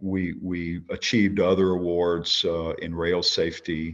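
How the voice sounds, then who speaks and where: A man speaks with a Louisiana accent in a very deep, low pitch. His intonation is monotone and flat against a quiet background. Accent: US South (Louisiana). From Louisiana, Baton Rouge. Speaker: company CEO. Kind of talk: interview. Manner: halting, many fillers.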